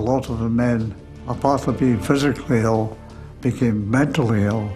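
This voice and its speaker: With music in the background, a man speaks in a Scottish accent at a moderate pace, his medium pitch carried by fairly even intonation. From Scottish Highlands. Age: 80s+. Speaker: war veteran. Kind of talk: interview answer.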